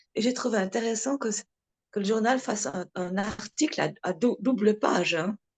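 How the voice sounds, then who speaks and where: Dry and close with no echo, a woman's fairly high voice moves at a moderate pace with ordinary pitch variation. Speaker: talk speaker at a devotee meeting. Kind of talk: casual chat. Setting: video call.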